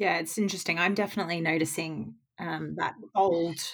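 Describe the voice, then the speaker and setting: Speaking with a British accent at a moderate pace, a woman keeps her fairly low voice in fairly even intonation, in a very clean recording with a silent background. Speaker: podcast host and financial advisor. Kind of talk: casual chat.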